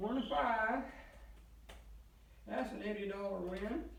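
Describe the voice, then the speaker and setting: Through audible room echo and noticeable background noise, a man speaks at a high pitch and a fairly slow pace. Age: 70s. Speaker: craps player vlogger. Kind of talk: live play-by-play commentary while gambling. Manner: casual, conversational.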